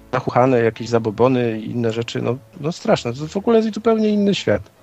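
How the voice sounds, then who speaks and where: This man speaks at a very fast pace in a medium pitch, with very wide swings in pitch. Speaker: stand-in co-host. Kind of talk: casual chat.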